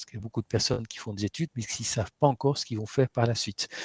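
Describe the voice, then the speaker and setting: Somewhat breathy, a man speaks with fairly even intonation in a dry, close sound with no echo. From Flanders, Belgium. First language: Dutch (speaking French). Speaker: webinar host. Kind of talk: webinar introduction. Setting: online webinar. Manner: hesitant, many fillers.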